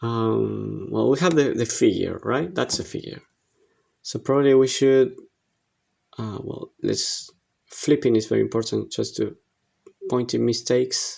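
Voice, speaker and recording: A man with an Argentine accent speaks with long, frequent pauses. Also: fairly slow pace. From Argentina. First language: Spanish. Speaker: digital art instructor. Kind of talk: tutorial. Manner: halting, many fillers.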